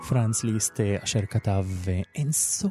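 A somewhat breathy, dark, mellow tone at a very slow pace, with a dry, close sound and no echo. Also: man, very clean recording, silent background. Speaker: music radio presenter. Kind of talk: educational commentary on music.

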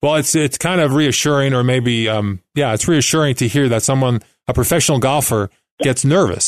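A plain, everyday voice at a fairly quick pace, with ordinary pitch variation, a quiet background and a dry, close sound with no echo. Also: man. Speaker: podcast host and author. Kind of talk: interview. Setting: studio.

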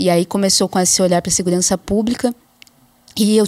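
A woman talks in a normal speaking voice at medium pitch with fairly even intonation. The sound is dry and close, with no echo. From interior of São Paulo state, Brazil. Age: 30s. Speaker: anthropologist. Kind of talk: interview.

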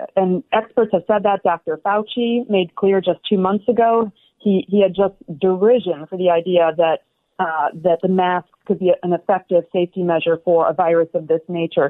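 A woman talks in a plain, everyday voice. Her pace is moderate and her intonation fairly even. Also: medium pitch for a woman. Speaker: opinion writer. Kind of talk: interview. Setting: video call.

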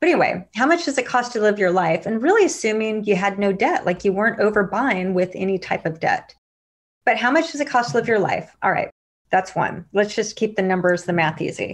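A woman talks fairly quickly in a fairly high voice with lively intonation. It is an unremarkable speaking voice against a quiet background. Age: 40s. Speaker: money coach and investor. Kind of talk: podcast interview.

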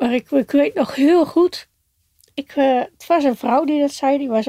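Her voice is high-pitched, with a dark, mellow tone, and she speaks very slowly. The sound is dry and close, with no echo. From Netherlands, Giessenburg (South Holland). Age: 60s. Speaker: recovering alcoholic. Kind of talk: interview testimony. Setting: in a caravan.

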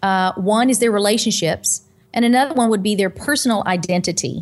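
In an ordinary speaking voice, a woman lets her pitch vary in an ordinary way. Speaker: pastor and nutritional counselor. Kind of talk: interview. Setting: video call.

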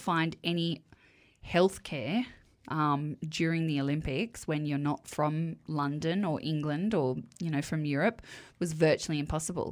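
On a very clean recording with a silent background, a woman with an Australian accent talks at a moderate pace in a fairly low pitch. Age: 40s. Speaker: podcast co-host. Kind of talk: casual chat.

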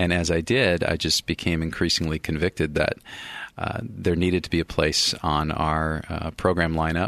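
Fairly even intonation comes through a dry, close sound with no echo and a quiet background. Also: man, very deep, low pitch for a man, moderate pace. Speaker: executive producer and radio announcer. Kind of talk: radio interview chat. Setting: radio studio.

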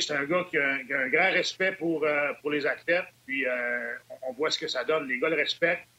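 Against noticeable background noise, a man with a fairly high voice speaks at a fairly quick pace with ordinary pitch variation. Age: 50s. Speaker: hockey analyst, former player. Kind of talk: panel discussion on hockey.

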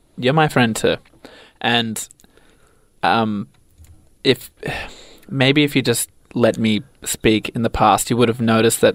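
A man's medium-pitched voice, fairly slow and fairly even in intonation, with long, frequent pauses and a dry, close sound with no echo. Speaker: radio co-host. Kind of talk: comedy radio show banter. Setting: radio studio.

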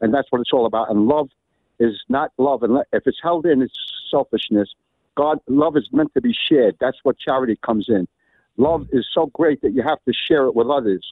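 A man speaks with a New York accent at a moderate pace. His loudness stays very even. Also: medium pitch for a man, ordinary pitch variation. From Brooklyn, New York. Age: 70s. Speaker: caller, priest. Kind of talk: testimony. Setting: phone call. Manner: animated.

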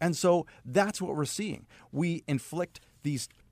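An ordinary speaking voice with lively intonation moves at a moderate pace, in a dry, close sound with no echo on a very clean recording with a silent background. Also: man. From Canada, Saskatchewan. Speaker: naturopath. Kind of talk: radio interview. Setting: studio.

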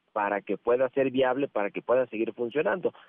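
A man speaks in a plain, everyday voice. His pitch is medium and his pace moderate. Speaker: financial columnist. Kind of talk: interview commentary.

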